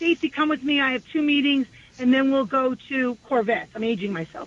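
Amid noticeable background noise, a woman with a New York accent talks at a fairly quick pace, her high pitch carried by lively intonation. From New York City, Far Rockaway, Queens. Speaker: state legislator. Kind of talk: radio interview.

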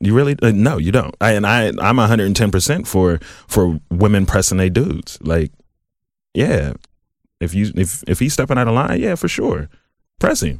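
A man with an American accent, fairly low pitch and lively intonation, at a moderate pace with long, frequent pauses and very even loudness, in a very clean recording over a silent background. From Southfield, Michigan (Detroit area), US. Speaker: podcast guest. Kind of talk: casual chat.

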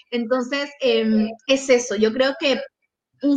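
A woman speaks in a high pitch at a fairly slow pace. Her intonation stays fairly even. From Peru. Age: 20s. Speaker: scholarship recipient, master's student. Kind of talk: interview. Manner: talkative.

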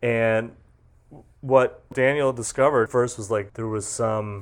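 A man with an American accent speaks fairly slowly at a fairly low pitch, with fairly even intonation. The recording is very clean and the background silent. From western Massachusetts. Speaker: journalist. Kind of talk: casual chat.

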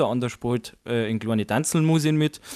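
A man with a Bavarian accent, medium pitch, ordinary pitch variation and moderate pace, in a dry, close sound with no echo. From Bavaria, Chiemgau. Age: 20s. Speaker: musician. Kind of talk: interview.

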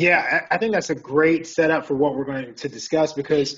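Here is a man with an unremarkable speaking voice and a fairly high pitch. He talks at a moderate pace with ordinary pitch variation. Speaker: psychologist and keynote speaker. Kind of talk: presentation. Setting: video call.

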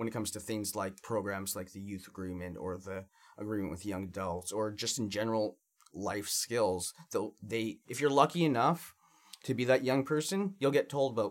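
An unremarkable speaking voice from a man, fairly low in pitch, at a moderate pace with ordinary pitch variation. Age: 20s. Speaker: youth in care, youth advocate. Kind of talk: podcast interview.

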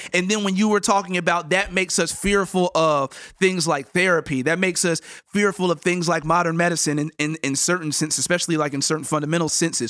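A man talks at a very fast pace in an animated way. His voice sits high for a man, with a bright, sharp tone. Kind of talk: casual chat. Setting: studio.

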